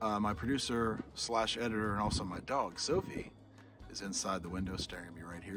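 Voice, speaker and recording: A man's fairly low voice at a moderate pace, dry with no echo, over music in the background. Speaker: travel vlogger. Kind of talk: casual vlog chat. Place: open country. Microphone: phone near.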